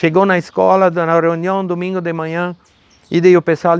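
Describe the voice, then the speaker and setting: A man with a German accent, high in pitch, at a moderate pace, on a very clean recording with a silent background and a dry, close sound without echo. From southern Brazil, Rio Grande do Sul, German-speaking rural community. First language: German (speaking Portuguese). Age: 70s. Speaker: former mayor and businessman. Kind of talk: interview testimony.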